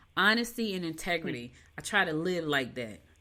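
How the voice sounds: A woman talks at a fairly quick pace with lively intonation. Her pitch is low and her tone bright and sharp.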